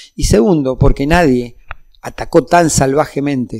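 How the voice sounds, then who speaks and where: A man's fairly high pitch comes with a dark, mellow tone. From Argentina, Mendoza. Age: 60s. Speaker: union leader and politician. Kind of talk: political interview.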